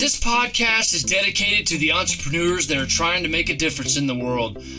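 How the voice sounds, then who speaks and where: Against noticeable background noise, a man talks fairly quickly in a high voice with lively intonation and very even loudness. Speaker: podcast host. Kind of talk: solo podcast monologue.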